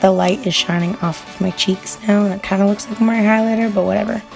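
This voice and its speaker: A woman's medium-pitched voice over music in the background. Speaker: beauty vlogger. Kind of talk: makeup tutorial voiceover. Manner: casual, chatty.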